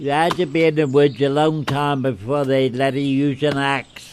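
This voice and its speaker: A man speaks at a very slow pace. His pitch sits fairly high. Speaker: retired forestry worker. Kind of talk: oral history interview.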